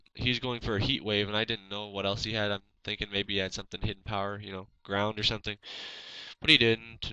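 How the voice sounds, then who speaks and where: A man speaks at a very fast pace in a fairly low, bright and sharp voice. His intonation is monotone and flat against a quiet background. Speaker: gaming commentator. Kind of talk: narrated gameplay commentary.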